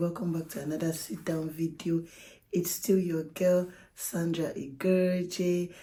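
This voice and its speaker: Somewhat breathy and dark, mellow in tone, this voice keeps a moderate pace. Its intonation is fairly even. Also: woman. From Nigeria. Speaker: YouTuber. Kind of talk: casual vlog talk to camera.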